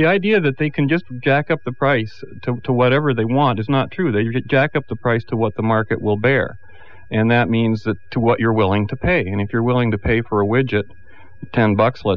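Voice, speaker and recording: Talking at a fairly quick pace, a man with a plain, everyday voice keeps a medium pitch and ordinary pitch variation. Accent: Canadian. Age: 50s. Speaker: political commentator. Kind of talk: radio panel debate.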